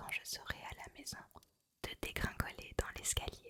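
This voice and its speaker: A woman whispers. She goes at a very slow pace. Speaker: ASMR creator. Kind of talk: whispered reading of a novel for sleep. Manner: whispered, soft, slow.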